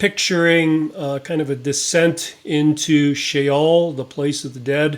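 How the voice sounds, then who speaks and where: A man's fairly high voice at a very slow pace. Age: 60s. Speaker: Bible teacher. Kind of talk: Bible study teaching. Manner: halting with many fillers.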